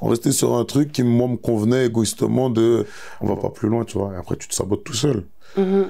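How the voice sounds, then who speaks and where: The speaker has a dark, mellow tone and moves at a fairly quick pace. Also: man. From France. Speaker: musician. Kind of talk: interview answer.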